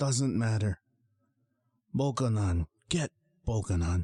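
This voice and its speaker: This put-on character voice is croaky and wheezy, with lively intonation and a fairly slow pace. The sound is dry and close, with no echo. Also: man, medium pitch for a man. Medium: read story.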